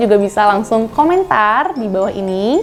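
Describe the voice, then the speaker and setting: Music plays in the background. A woman talks at a moderate pace with a fairly high pitch and lively intonation. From Indonesia, Bandung. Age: 20s. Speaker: doctor and beauty vlogger. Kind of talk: skincare tutorial vlog.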